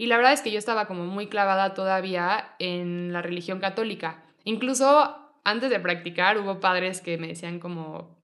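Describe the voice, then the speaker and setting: A woman speaks in a Mexico City accent at a medium pitch and moderate pace. Her pitch varies in an ordinary way, while her loudness swings widely. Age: 20s. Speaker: yoga teacher. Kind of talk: casual chat.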